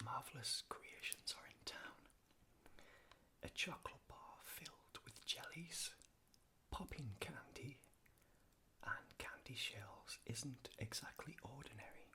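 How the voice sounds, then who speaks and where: A man whispers with a British accent. His pace is very slow. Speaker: ASMR artist. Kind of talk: ASMR unscripted ramble. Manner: whispered, soft-spoken.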